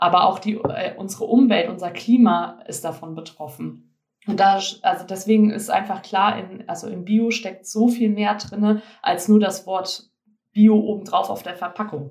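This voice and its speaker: Her voice is somewhat breathy and of medium pitch, with fairly even intonation, big shifts in loudness, and a moderate pace. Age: 20s. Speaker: organic shop owner. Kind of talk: interview.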